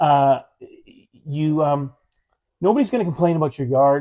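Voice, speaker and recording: A man with a Canadian Prairie accent speaks at a fairly high pitch in a dark, mellow tone. The sound is dry and close with no echo, on a very clean recording with a silent background. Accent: Canadian English (Prairies). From Manitoba, Canada. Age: 50s. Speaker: talk show host. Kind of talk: casual chat. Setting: live stream from a theatre.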